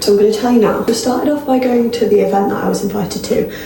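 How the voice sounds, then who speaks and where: In a room with audible echo and noticeable background noise, a woman speaks with an English accent. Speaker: vlogger. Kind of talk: vlog narration. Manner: animated.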